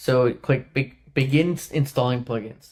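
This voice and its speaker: This man's voice sits at a fairly high pitch. His pitch variation is ordinary. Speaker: web developer. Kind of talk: tutorial. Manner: casual, halting.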